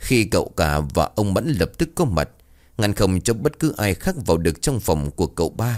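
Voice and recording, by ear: A passage is read aloud in a natural voice.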